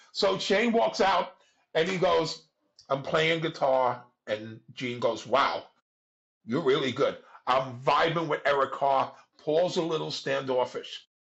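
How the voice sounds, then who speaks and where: Here a man speaks at a very slow pace. His pitch is fairly high and his intonation lively. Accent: New York. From New York. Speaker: music club figure. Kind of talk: storytelling interview. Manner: animated.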